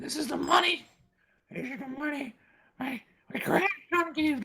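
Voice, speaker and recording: A put-on character voice, high-pitched and raspy, at a moderate pace. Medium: actual play. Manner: shouting, fierce.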